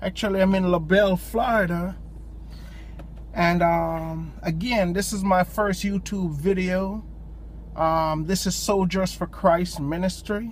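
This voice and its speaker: A man in a strong Jamaican accent, at a very slow pace. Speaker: lay preacher. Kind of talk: informal devotional talk. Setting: in a parked car at a park. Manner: hesitant, many ums.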